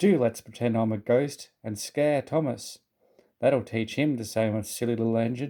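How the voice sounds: The setting behind the voice is quiet. A natural reading voice rises and falls with ordinary pitch variation.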